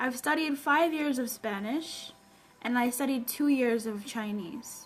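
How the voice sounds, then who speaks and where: A high-pitched woman's voice with lively intonation and a fairly slow pace, music in the background. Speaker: personal development coach. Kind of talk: live stream Q&A chat. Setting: live stream broadcast with music. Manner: animated.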